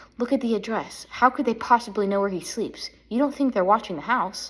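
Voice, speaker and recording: Quiet and shaky, a female-sounding voice puts on a character at a fairly high pitch. The delivery moves at a fairly quick pace. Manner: quiet, quivering.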